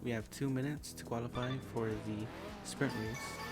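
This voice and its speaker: Music can be heard in the background. A man talks over it, his pitch varying in an ordinary way. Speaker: sim racing gamer. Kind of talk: post-recorded gameplay commentary.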